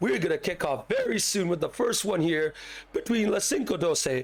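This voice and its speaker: A man talks with lively intonation. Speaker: esports league caster and streamer. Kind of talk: live stream pre-match commentary. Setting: live stream with chat. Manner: casual, chatty.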